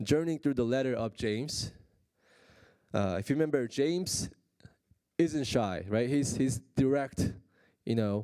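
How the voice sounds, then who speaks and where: A man with a non-native accent speaks at a medium pitch and a fairly slow pace, his tone dark and mellow, his pitch varying in an ordinary way, with long, frequent pauses. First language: Korean. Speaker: pastor. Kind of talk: sermon. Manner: halting, many fillers.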